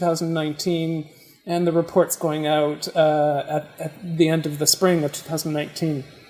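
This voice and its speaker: Background music accompanies a woman's speech. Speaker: research project organizer leading volunteer orientation. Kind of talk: training presentation. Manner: halting, many fillers.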